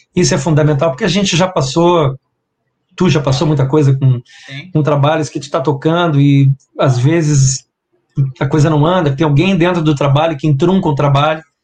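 Somewhat breathy male voice at a fairly high pitch, with fairly even intonation. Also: moderate pace. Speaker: guitarist. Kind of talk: casual interview chat. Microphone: laptop mic about two hand-spans away.

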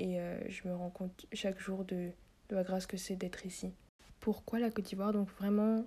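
With a somewhat breathy sound, a woman speaks at a moderate pace in a monotone, flat intonation. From France, Paris. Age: 20s. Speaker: podcast host and journalism student. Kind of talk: casual monologue.

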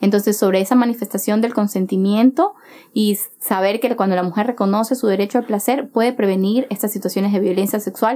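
Her pitch fairly high, a woman speaks at a fairly quick pace with fairly even intonation. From Ecuador, Chone, Manabí. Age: young. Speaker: activist. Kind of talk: casual interview.

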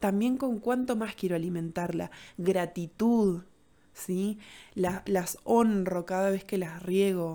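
The recording is very clean, with a silent background. A woman with a dark, mellow tone speaks very slowly at a medium pitch, her intonation fairly even. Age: 30s. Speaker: podcast host, holistic therapist. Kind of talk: solo podcast monologue.

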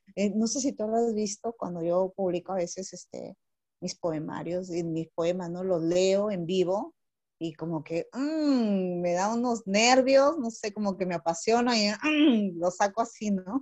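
In a normal speaking voice, a woman talks at a fairly slow pace and a medium pitch. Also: lively intonation. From northern Peru, Chiclayo. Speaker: poet and lawyer. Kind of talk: casual chat. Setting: video call.

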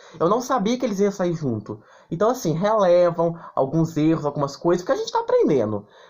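An animated tone at a fairly quick pace, with noticeable background noise. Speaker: podcast host. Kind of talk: casual podcast chat.

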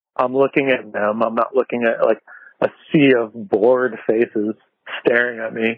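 With a normal speaking voice of medium pitch, a man talks at a moderate pace with fairly even intonation. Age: 40s. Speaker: skateboard journalist and talk show host. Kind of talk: casual chat. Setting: outdoors on patio, remote call.

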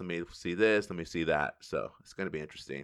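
A man talks in an American accent. His pace is very fast. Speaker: podcast host. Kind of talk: casual chat.

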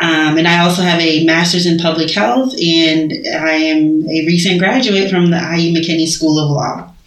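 Over noticeable background noise, a woman speaks at a moderate pace in a fairly low voice with ordinary pitch variation, very even loudness and hardly any pauses. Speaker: law and public health graduate. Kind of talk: casual interview. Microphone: muffled by face mask.

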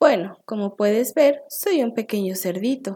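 A reading voice that sounds natural

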